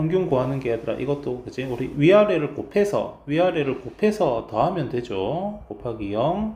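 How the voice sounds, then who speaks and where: A fairly high-pitched man's voice with very wide pitch swings, amid noticeable background noise and audible room echo. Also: moderate pace. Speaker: math teacher. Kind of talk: lecture.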